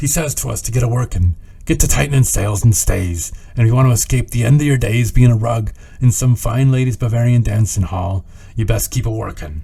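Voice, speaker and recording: A man's put-on character voice, gruff and medium in pitch, at a fairly quick pace over light background noise. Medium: read story. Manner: gruff, rambling.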